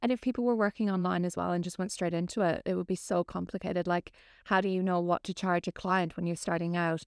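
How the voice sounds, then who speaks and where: In an Irish accent, a woman speaks at a very fast pace with fairly even intonation. Her pitch is fairly low, and the recording is very clean with a silent background. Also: dry, close sound with no echo. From Ireland. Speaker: personal trainer. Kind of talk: casual chat.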